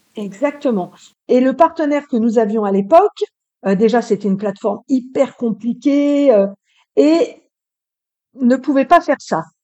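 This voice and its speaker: A woman's high voice, fairly slow and full of lively intonation, with long, frequent pauses. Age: 50s. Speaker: real estate rental manager. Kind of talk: casual interview.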